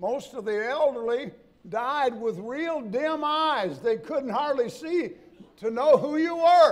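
This man's voice sits extremely high in pitch, with lively intonation. He talks at a very slow pace. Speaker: preacher. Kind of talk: sermon. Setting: church. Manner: folksy, humorous, conversational. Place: church. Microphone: podium.

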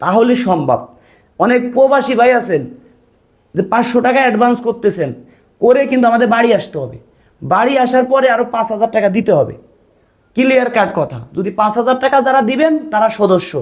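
A man speaks with an extremely high pitch. His pitch varies in an ordinary way. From Bangladesh. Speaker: matchmaking YouTuber. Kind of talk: vlog address to viewers. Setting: at home with camera.

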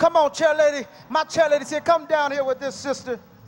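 A man's extremely high voice with fairly even intonation, music playing behind it. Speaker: preacher. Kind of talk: sermon. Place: hall. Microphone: handheld.

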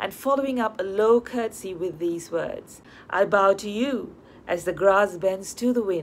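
The speaker reads in an unforced voice, and pitch varies in an ordinary way.

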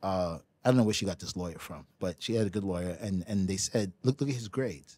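A man with a New York accent, a fairly quick pace and lively intonation, in a dry sound with no echo and a quiet background. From New York City, Brooklyn. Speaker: professional ping pong player. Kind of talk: casual chat. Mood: serious, recounting hard childhood. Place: studio. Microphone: studio mic.

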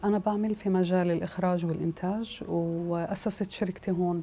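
With a Palestinian accent, a woman speaks in a monotone, flat delivery with a dark, mellow tone and fairly low pitch, over light background noise. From Palestine (Gaza, Ramallah). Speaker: film director and producer. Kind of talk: interview. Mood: calm, earnest.

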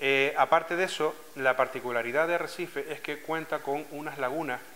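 A man's fairly high voice in a Canarian accent, at a moderate pace with fairly even intonation. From Canary Islands, Lanzarote (Arrecife); Canary Islands. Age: 40s. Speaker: scuba diving club president. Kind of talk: interview testimony. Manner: hesitant, with frequent fillers and repetitions. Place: office.

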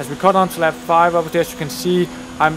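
Fairly high in pitch, a man talks at a fairly quick pace against noticeable background noise. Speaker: gaming YouTuber. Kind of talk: gameplay commentary. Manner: halting.

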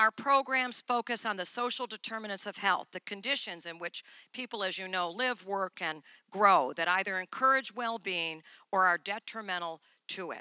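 A woman speaks at a moderate pace with a bright, sharp tone and ordinary pitch variation. Her loudness swings widely, in a dry sound with no echo over a quiet background. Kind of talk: conference speech. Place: stage. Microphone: handheld.

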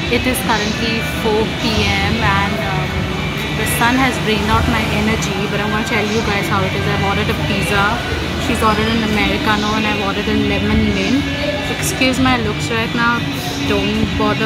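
A woman talking at a fairly quick pace over loud music in the background. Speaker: vlogger. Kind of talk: casual vlog chat. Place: cafe. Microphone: phone near.

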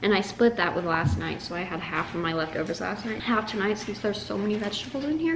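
A woman talking at a very fast pace over noticeable background noise. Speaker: house sitter vlogger. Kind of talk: casual vlog chat. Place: home room. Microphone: camera far.

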